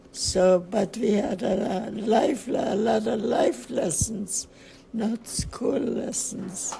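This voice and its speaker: Over noticeable background noise, a woman with a fairly high voice speaks very slowly. Her pitch varies in an ordinary way. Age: 80s+. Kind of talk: interview answer.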